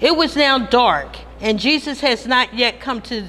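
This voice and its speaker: Delivered very slowly, the speech still carries lively intonation. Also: woman. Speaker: worship assistant. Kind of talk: reading aloud. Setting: church.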